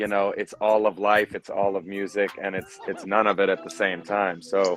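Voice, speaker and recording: A man speaks at a moderate pace with fairly low pitch. His intonation stays fairly even over music in the background. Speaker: musician and podcast co-host. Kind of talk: casual chat. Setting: audio-only call.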